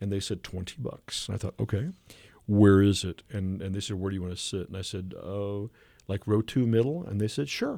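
In a Midwestern US accent, a man talks at a fairly quick pace with fairly low pitch and ordinary pitch variation. His tone is dark and mellow on a very clean recording with a silent background. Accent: US Midwest. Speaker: comic artist and voice performer. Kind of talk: interview. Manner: animated storytelling; halting.

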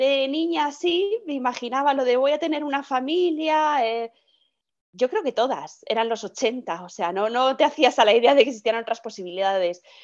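Intonation here is lively, at a moderate pace. The background is quiet. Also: woman, high pitch for a woman. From Madrid, Spain. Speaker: podcast guest sharing fertility story. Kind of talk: interview testimony. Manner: hesitant, repeats words.

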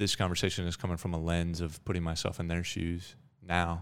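Monotone and flat, a man with an American accent speaks at a moderate pace in a very deep, low pitch on a very clean recording with a silent background. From Colorado, US. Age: 30s. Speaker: author. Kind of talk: casual interview.

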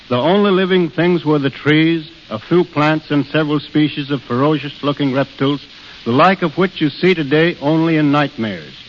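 A fairly high-pitched male voice at a moderate pace, with ordinary pitch variation over noticeable background noise. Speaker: national park superintendent. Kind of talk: radio interview. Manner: plain-spoken, earnest, measured.

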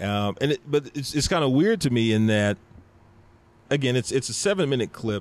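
A man with a slight Texan accent speaks at a fairly quick pace, his medium-pitched voice carrying lively intonation. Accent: mild Texan. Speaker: podcaster and rapper. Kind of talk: casual chat. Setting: in person, same room.

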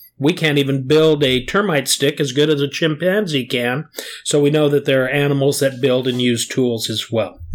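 Here a man speaks with a fairly high pitch. He has a normal speaking voice with ordinary pitch variation. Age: 60s. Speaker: geologist. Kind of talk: casual chat.

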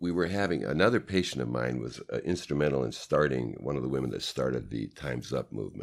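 Fairly quick speech from a man with a Canadian accent, very deep and low in pitch, with vocal fry and lively intonation. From Canada, Vancouver. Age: 60s. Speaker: sports medicine chiropractor. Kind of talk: interview.

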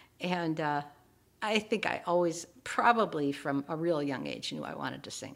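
A woman's very deep, low voice in an Upper Midwest accent, moderate in pace with ordinary pitch variation, over a very clean recording with a silent background. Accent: Upper Midwest American. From rural Minnesota. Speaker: retired voice professor and soprano. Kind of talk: interview.

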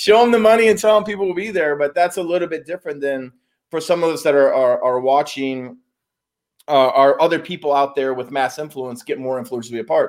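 An unremarkable speaking voice, a man with an American accent talks fairly quickly at a fairly high pitch with lively intonation, in a very clean recording with a silent background. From US Midwest, Chicago area. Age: 40s. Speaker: business consultant in self-help space. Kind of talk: casual interview chat. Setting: in person, Arizona.

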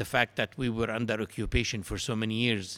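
At a moderate pace, a man with an Arabic accent speaks at a medium pitch. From Palestine. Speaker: brewery founder. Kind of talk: interview. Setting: at a brewery.

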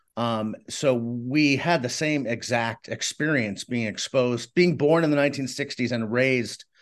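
With an American accent, a speaker uses a plain, everyday voice at a moderate pace with ordinary pitch variation against a quiet background. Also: man. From Boston area, Massachusetts. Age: 50s. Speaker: author and journalist. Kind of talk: casual interview.

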